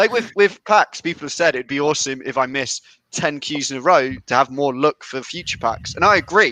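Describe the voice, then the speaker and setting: A fairly high male voice with a British accent, bright and sharp, lively in intonation, at a fairly quick pace, with a dry, close sound and no echo. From England, Leicestershire. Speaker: company representative. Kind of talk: casual chat.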